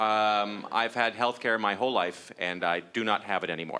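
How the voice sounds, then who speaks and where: With noticeable background noise around him, this man talks in a fairly low voice. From Canada. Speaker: stand-up comedian. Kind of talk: stand-up. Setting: stage with audience. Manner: halting, many fillers.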